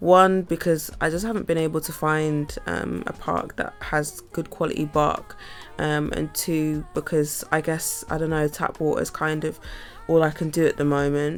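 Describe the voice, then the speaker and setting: In a relaxed tone and a Bristolian accent, the speaker keeps a moderate pace over noticeable background noise. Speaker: vlogger and musician. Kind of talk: casual vlog talk. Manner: relaxed, rambling with fillers.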